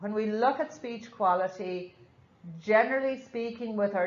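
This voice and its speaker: A woman with an Irish accent speaks fairly slowly at a fairly high pitch. Her intonation varies in an ordinary way, and audible room echo surrounds her voice. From Ireland. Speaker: nurse educator. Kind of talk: lecture. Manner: slurs words slightly.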